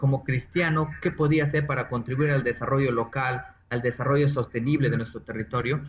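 There is noticeable background noise as a man talks in a fairly high voice. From Peruvian Amazon, San Martín (Moyobamba). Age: 40s. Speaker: environmental engineer. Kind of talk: interview.

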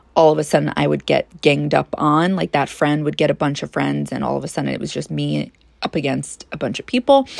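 In a Long Island accent, a woman talks at a fairly quick pace, the sound dry and close with no echo. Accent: New York (Long Island). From US, Long Island, New York. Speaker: psychic podcaster. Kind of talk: casual monologue.

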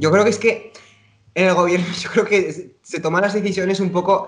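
A man's high voice at a moderate pace, with audible room echo. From Spain (Zaragoza, Aragon). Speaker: podcast co-host, dancer. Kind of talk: casual chat.

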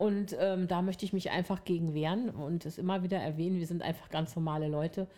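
With hardly any pauses, a woman talks at a very fast pace in a fairly low pitch, with a dark, mellow tone and fairly even intonation. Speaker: podcast co-host. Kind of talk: casual chat.

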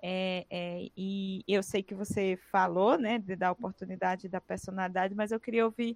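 With an ordinary speaking voice, a woman of medium pitch talks at a fairly slow pace and with fairly even intonation, in a dry, close sound with no echo. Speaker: podcast host. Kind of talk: interview.

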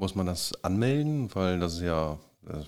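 The voice belongs to a man and is very deep and low. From northern Germany, Kiel. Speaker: podcast host. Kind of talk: interview.

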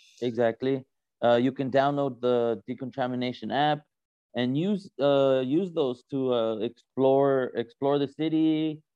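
A man talks at a fairly slow pace. His pitch sits in the medium range and varies in an ordinary way. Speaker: intercultural educator at a nonprofit. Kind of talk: casual interview chat. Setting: video podcast, wearing headset.

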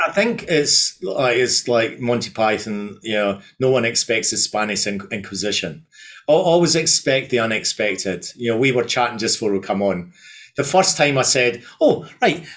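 Lively intonation carries this man's medium-pitched voice, heard with a Scottish accent. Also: moderate pace. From Scotland. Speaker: events company founder. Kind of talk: interview. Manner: halting.

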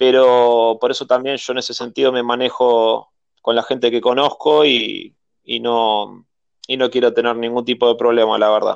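In a Rioplatense accent, a man speaks at a moderate pace and medium pitch, his intonation monotone and flat. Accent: Argentine Rioplatense Spanish. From Argentina. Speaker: film director. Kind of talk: interview. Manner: halting, frequent repetitions and fillers.

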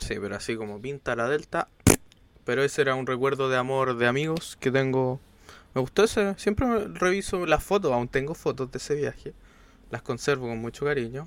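A man with a Chilean accent speaks at a medium pitch. His pace is fairly quick and his intonation lively. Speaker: podcast co-host. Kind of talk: casual chat.

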